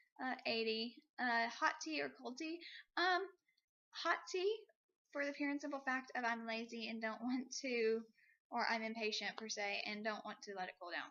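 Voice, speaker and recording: The speaker keeps a moderate pace with lively intonation. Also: woman, high pitch for a woman. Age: 20s. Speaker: vlogger. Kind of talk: casual tag video monologue. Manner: hesitant, many fillers.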